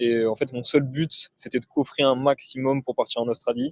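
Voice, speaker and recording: Dry, close sound with no echo and a moderate pace. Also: man. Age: 20s. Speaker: e-commerce entrepreneur. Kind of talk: casual interview. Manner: hesitant, many fillers.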